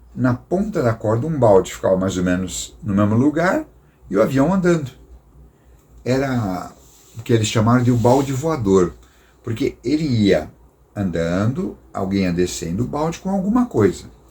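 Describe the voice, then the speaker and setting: A man with a somewhat breathy voice and a dark, mellow tone speaks at a moderate pace and a medium pitch, making very wide pitch swings and taking long, frequent pauses. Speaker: missionary storyteller. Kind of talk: storytelling talk. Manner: casual, conversational.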